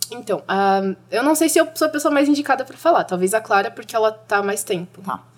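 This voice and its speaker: Noticeable background noise sits under a woman talking fairly quickly with hardly any pauses. Her fairly high voice swings very widely in pitch and in loudness. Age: 20s. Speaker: young climate activist. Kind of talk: casual chat. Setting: studio.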